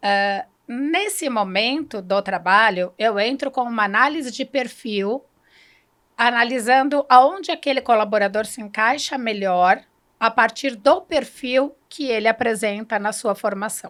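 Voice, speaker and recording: A woman with a normal speaking voice speaks fairly slowly at a fairly high pitch with ordinary pitch variation, on a very clean recording with a silent background. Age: 50s. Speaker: human development consultant. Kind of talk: interview.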